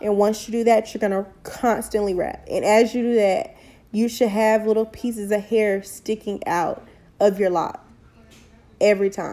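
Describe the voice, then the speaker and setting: Her tone is dark and mellow, at a fairly high pitch for a woman. She speaks at a moderate pace with fairly even intonation. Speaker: hair tutorial youtuber. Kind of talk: tutorial. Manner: casual, conversational.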